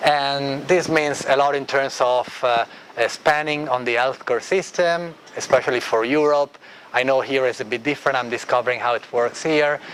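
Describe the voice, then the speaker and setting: A man talks at a moderate pace, his intonation fairly even, while noticeable background noise runs underneath. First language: Italian. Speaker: architect and design researcher. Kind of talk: lecture. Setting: classroom.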